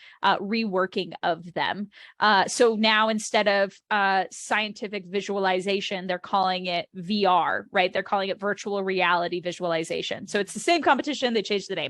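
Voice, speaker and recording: At a moderate pace and a medium pitch, a woman speaks in a plain, everyday voice against a quiet background. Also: hardly any pauses. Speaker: youth organization state coordinator. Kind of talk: informational webinar presentation. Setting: video call webinar.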